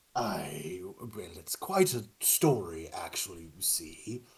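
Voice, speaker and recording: Very slowly, a man puts on a character voice at a fairly low pitch. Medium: actual play. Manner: formal, hesitant, proper.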